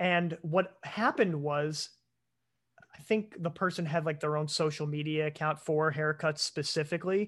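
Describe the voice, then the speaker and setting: A man's plain, everyday voice at a fairly high pitch, with fairly even intonation and a moderate pace. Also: quiet background. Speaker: podcast co-host. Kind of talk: casual chat.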